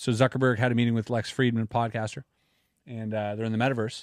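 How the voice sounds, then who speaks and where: Fairly quick speech with a Canadian accent, recorded dry and close with no echo over a quiet background. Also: man. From Canada. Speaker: podcast host, magician and YouTuber. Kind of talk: casual chat. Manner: animated.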